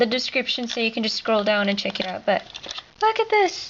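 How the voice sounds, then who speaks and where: This woman's pitch is high. There is noticeable background noise behind her. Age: 20s. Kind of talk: casual video tour. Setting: home art studio. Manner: animated.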